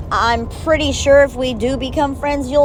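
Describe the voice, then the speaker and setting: Noticeable background noise runs throughout. The speaker is a woman. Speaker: personal vlogger. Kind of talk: personal letter monologue. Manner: blunt, emphatic.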